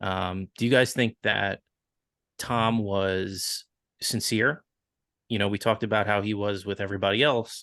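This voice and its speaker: With a Long Island accent, a man talks at a moderate pace in a fairly low, flat monotone with a bright, sharp tone. The sound is dry and close with no echo over a quiet background. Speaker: podcast co-host. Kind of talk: casual chat.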